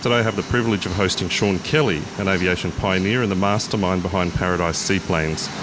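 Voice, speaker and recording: A man with an Australian accent, very deep and low in pitch, at a very fast pace with hardly any pauses and very even loudness, plus audible room echo and noticeable background noise. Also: ordinary pitch variation. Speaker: podcast host and pilot. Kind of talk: interview. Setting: outdoors by a road.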